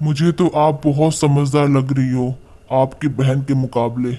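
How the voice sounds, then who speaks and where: In a cartoonish character voice, a woman speaks at a moderate pace with a very deep, low pitch. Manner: chatty, boastful.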